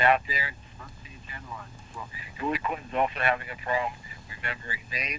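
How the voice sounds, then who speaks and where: A man with an American accent at a fairly quick pace, with noticeable background noise. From New York City. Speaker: medical doctor, weekly political commentator. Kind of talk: radio phone interview.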